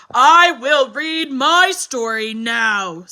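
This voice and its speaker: A woman's put-on character voice, pitched high. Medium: read story. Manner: slow, threatening.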